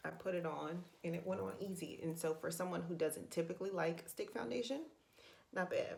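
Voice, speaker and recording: Vocal fry in a woman's fairly low-pitched delivery at a moderate pace. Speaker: beauty and budget vlogger. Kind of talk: makeup tutorial. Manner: casual, hesitant with fillers.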